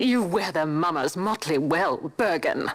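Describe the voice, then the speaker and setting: Growling in a put-on character voice, a woman speaks at a fairly slow pace and fairly low pitch with lively intonation. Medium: video game. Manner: forceful, indignant.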